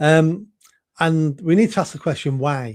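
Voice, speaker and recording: The recording is very clean with a silent background. A man speaks in a Mancunian accent at a fairly high pitch. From northern England, Manchester. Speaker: political candidate. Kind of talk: interview. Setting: live video stream.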